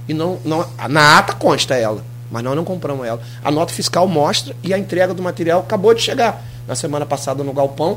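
A man's fairly high voice moves at a fairly quick pace with ordinary pitch variation as music plays in the background. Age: 40s. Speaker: municipal sports director. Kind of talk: radio interview. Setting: radio studio.

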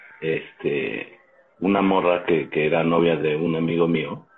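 Against noticeable background noise, a man with a very deep, low voice speaks at a very slow pace with ordinary pitch variation. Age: 40s. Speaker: podcast co-host. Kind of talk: casual chat.

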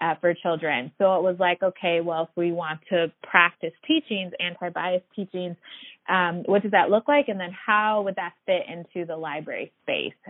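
An ordinary speaking voice at a fairly slow pace, with ordinary pitch variation. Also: woman. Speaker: librarian. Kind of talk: interview.

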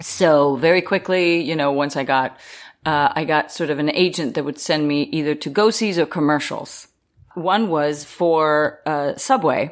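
Very deep, low pitch from a woman, at a fairly slow pace. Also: very clean recording, silent background. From Israel. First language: Danish and Hebrew. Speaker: actor. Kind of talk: interview anecdote.

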